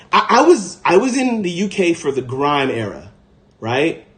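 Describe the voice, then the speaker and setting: Using an animated tone and an American accent, a man speaks with very wide pitch swings. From United States. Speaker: podcast host, livestreamer. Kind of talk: casual livestream chat.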